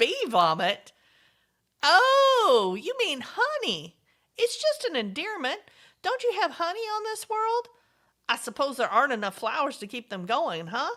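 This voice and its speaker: In a put-on character voice, a woman speaks at a moderate pace, squeaky and extremely high in pitch with very wide pitch swings and a warm tone. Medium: audio drama. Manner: warm, folksy, doting.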